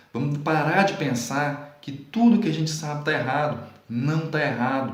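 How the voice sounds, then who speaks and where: Through audible room echo and noticeable background noise, a man with a fairly high pitch speaks at a fairly slow pace with ordinary pitch variation. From Brazil, Minas Gerais. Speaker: Portuguese writing teacher. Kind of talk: video lesson. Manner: careful, standard-leaning pronunciation.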